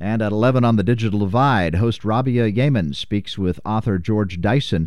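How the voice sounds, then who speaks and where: Here is a man with a normal speaking voice. His pitch is fairly low and his pace moderate. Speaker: radio host.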